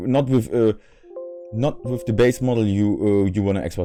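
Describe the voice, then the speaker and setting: This man has a fairly low pitch and a dark, mellow tone. He speaks with a non-native accent at a fairly slow pace. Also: quiet background. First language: not English. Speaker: modding tutorial creator. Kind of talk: software tutorial. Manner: halting, many fillers and repetitions; unscripted. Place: home room.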